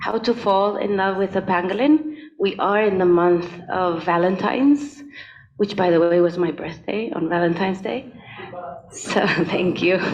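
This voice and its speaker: Noticeable background noise beneath ordinary pitch variation and a fairly slow pace. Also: woman. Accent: Spanish. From Spain. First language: Spanish. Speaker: conservation expert, keynote speaker. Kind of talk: keynote presentation. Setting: hybrid event, in a room.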